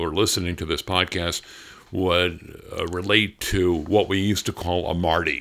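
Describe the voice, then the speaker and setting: The voice has a bright, sharp tone. It moves at a fairly slow pace. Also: man. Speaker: retired radio newsman. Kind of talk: casual chat.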